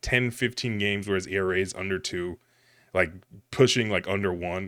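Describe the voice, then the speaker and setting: A man speaks at a moderate pace in a normal speaking voice, his pitch fairly low. His pitch varies in an ordinary way, and the recording is very clean with a silent background. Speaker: sports podcast co-host. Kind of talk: casual chat.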